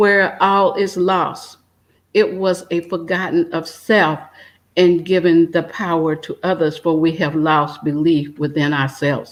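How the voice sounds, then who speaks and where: This is an ordinary speaking voice with ordinary pitch variation. It goes at a fairly slow pace. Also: woman. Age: 60s. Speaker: retired emergency nurse and energy healer. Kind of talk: spiritual conversation.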